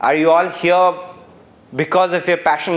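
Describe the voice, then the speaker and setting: With a Bengali accent, a man talks at a moderate pace in a high pitch for a man. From India, Calcutta. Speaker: former journalist, keynote speaker. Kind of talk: keynote speech. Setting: university auditorium with audience.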